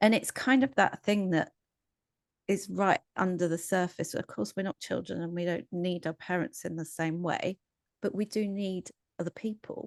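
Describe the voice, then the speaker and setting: A woman with an English accent and ordinary pitch variation, in dry, close sound with no echo. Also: medium pitch for a woman, moderate pace, quiet background. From England. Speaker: psychologist. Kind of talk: casual chat.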